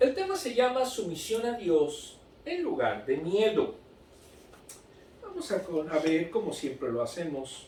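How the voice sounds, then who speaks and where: A man speaks at a fairly slow pace with long, frequent pauses, over noticeable background noise and audible room echo. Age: 60s. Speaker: Sunday school teacher. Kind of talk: Bible lesson. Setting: recorded broadcast.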